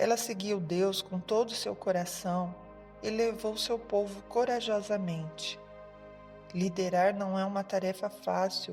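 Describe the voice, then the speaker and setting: A woman's calm, soothing tone at medium pitch, fairly slow and fairly even in intonation, with music in the background. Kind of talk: sleep story narration.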